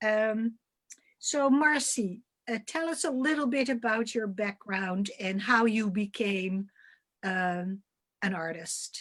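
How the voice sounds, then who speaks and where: Speaking in a Dutch accent, the voice moves at a very slow pace with lively intonation. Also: woman, fairly high pitch for a woman. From Netherlands. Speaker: curator moderating artist talk. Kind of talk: moderated panel discussion. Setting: video call.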